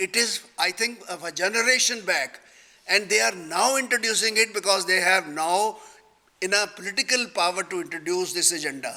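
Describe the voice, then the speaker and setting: With a Punjabi accent, a man uses a high-pitched, raised, projected voice at a moderate pace. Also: ordinary pitch variation. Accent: Indian Punjabi English. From Punjab, India. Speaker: retired judge and panel speaker. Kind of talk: panel discussion. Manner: halting.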